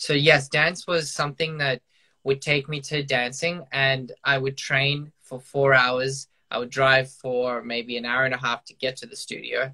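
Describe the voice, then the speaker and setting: A man with an Australian accent at a fairly slow pace, with fairly even intonation, against a quiet background. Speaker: professional dancer. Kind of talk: casual video chat interview. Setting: video call. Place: home room. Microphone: video call.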